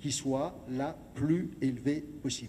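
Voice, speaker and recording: The room echo is audible here. A man speaks with a dark, mellow tone. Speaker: lecturer and local historian. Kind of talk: lecture. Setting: gymnasium with audience.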